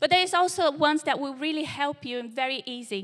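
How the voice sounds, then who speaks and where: A woman with a Portuguese accent, a raised, projected voice, a high pitch, a bright, sharp tone, and a moderate pace. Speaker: church young adults leader preaching. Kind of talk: sermon. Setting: church service with live congregation.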